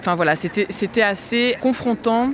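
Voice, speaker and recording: Ordinary pitch variation from a man's voice over noticeable background noise. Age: 30s. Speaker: punk poet and singer. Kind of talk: spoken word poetry; testimony. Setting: outdoors on a city square.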